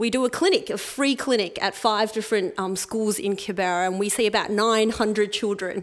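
A woman with an Australian accent has a fairly high pitch. She keeps a moderate pace and fairly even intonation. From Melbourne, Australia. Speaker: occupational therapist and charity volunteer. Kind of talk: interview before live audience. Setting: stage with audience.

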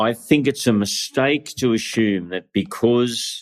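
A man with an Australian accent talks at a very slow pace, with ordinary pitch variation. The recording is very clean, the background silent. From Australia, northern New South Wales. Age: 60s. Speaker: pastor. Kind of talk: interview.

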